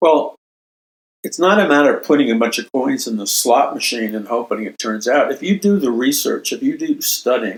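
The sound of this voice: With an American accent, a man speaks at a moderate pace in a medium pitch, his lively intonation carrying a slightly husky edge.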